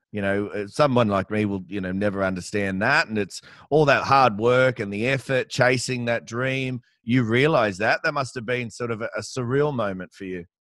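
Speaking with an Australian accent at a moderate pace, a man shows ordinary pitch variation over a dry sound with no echo and a quiet background. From Australia, Campbelltown (Western Sydney); New South Wales, Australia. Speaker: podcast host. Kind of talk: interview. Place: home room. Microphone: headset.

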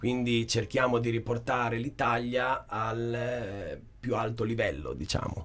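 The speaker is a man. His voice has vocal fry. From Italy, Rimini (Emilia-Romagna); Emilia-Romagna, Italy. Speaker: political candidate, small hotel owner; candidate. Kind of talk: radio/TV interview. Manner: hesitant, many fillers. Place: studio. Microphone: studio mic.

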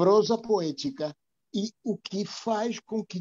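This man speaks with lively intonation and a dark, mellow tone. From Argentina. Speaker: reading group participant. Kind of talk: group discussion. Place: home room. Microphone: earbuds.

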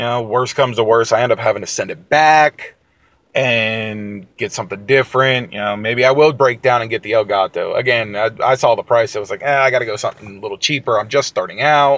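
A man with an American accent speaks at a medium pitch and a fairly quick pace, with fairly even intonation, in a dry sound with no echo. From West Virginia. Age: 20s. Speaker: gaming YouTuber. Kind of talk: casual vlog monologue. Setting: in a car. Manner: halting. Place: car. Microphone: phone near.

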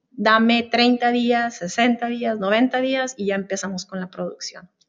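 With an unremarkable speaking voice, a woman talks at a fairly slow pace with fairly even intonation against a quiet background. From northern Mexico, Chihuahua border; northern Mexico. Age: 50s. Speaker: customs broker; guest. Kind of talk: interview. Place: meeting room. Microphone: video call.

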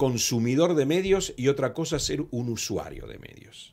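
Lively intonation at a fairly slow pace, with big swings in loudness over a quiet background. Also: man. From Argentina. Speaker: communication organization president; guest. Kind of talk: interview. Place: studio. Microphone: studio mic.

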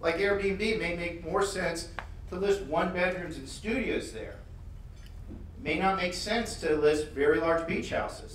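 Heard with audible room echo and light background noise, a man speaks with ordinary pitch variation. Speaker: conference presenter. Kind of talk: conference talk. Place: hall.

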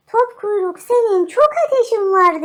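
A woman's squeaky, put-on character voice at an extremely high pitch, delivered at a fairly slow pace. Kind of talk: children's fairy tale. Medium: read story. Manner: warm, motherly.

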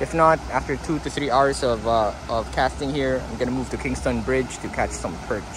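Over noticeable background noise, a man speaks at a fairly quick pace in a dry sound with no echo. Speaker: angler vlogger. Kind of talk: casual vlog chat. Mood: hopeful, pleased. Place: waterside. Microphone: phone near.

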